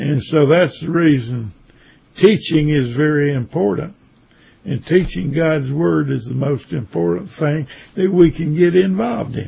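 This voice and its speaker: With lively intonation and a fairly high pitch, a man talks fairly slowly in a somewhat breathy voice. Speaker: Bible teacher. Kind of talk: Bible study lecture. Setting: online session. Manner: halting.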